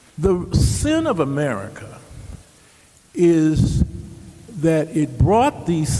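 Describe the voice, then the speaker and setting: With noticeable background noise behind him, a man with a fairly high pitch and lively intonation speaks at a very slow pace, leaving long, frequent pauses. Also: very even loudness. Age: 70s. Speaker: panelist. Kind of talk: panel discussion. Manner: animated.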